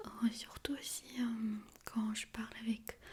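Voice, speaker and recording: In a monotone, flat intonation, a woman speaks at a fairly high pitch. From Armenia. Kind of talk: ASMR soft-spoken talk to camera. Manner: soft-spoken.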